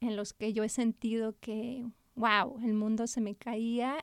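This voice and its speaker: A woman with a plain, everyday voice speaks at a fairly high pitch with fairly even intonation. The recording is very clean with a silent background and a dry, close sound with no echo. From Spain. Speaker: children's author and art therapist. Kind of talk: interview.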